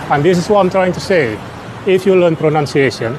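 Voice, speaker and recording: A man with an Indonesian accent at a moderate pace, ordinary pitch variation, and noticeable background noise. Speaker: English learner and vlogger. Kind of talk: monologue to camera.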